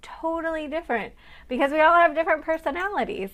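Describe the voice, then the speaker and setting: A woman speaks in an animated tone on a very clean recording with a silent background. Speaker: registered dietitian and business coach. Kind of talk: live stream talk to viewers. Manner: fast.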